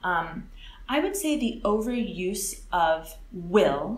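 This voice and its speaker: A woman with an American accent speaks with lively intonation. Audible room echo surrounds her voice. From California, US. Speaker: English teacher. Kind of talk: interview.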